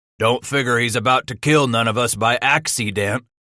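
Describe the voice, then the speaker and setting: A man puts on a growling character voice at medium pitch, with fairly even intonation and a moderate pace. The sound is dry and close with no echo, on a very clean recording with a silent background. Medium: read story. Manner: blunt, terse.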